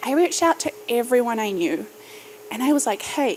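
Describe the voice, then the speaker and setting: A high-pitched woman with a New Zealand accent, very wide pitch swings and a moderate pace. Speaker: startup founder and podcaster. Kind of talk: keynote speech. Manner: rising inflection at sentence ends.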